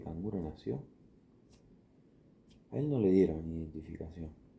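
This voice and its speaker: A man speaks at a fairly slow pace with vocal fry. His tone is dark, mellow and soothing. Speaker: ASMR creator. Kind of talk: improvised ASMR bedtime story. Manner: slow, soothing, relaxing.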